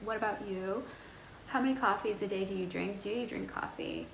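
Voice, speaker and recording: The woman's pace is moderate. Her voice has audible room echo, and noticeable background noise is heard too. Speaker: fashion and lifestyle vlogger. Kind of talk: casual vlog talk to camera. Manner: rambling, chatty.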